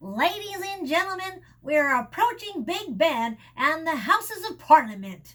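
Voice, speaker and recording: Swinging very widely in pitch, a put-on character voice goes along at a moderate pace. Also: woman, extremely high pitch for a woman. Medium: read story.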